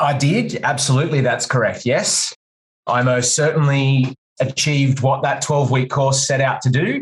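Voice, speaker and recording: Fairly high pitch for a man, somewhat breathy, with an Australian accent, fairly even intonation and very even loudness. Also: moderate pace. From Australia, country New South Wales (Wagga Wagga). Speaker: guitar teacher and music store worker. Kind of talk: casual interview chat.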